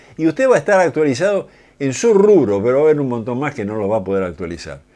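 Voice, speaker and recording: A man speaks at a very fast pace in a dark, mellow tone, his medium pitch swinging very widely. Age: 70s. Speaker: automotive engineer and lecturer; lecturer. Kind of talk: lecture. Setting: studio. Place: studio.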